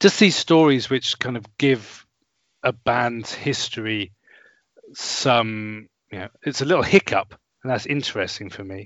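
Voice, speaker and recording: A man with a normal speaking voice talks at medium pitch. His intonation is lively, with big swings in loudness. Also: fairly slow pace. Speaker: music podcast guest. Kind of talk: casual conversation about an album.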